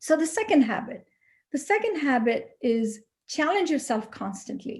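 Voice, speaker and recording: In a very clean recording over a silent background, a woman with a Pakistani accent speaks at a moderate pace in a dark, mellow tone with lively intonation. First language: Urdu. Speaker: HR consultant. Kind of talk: motivational talk to students.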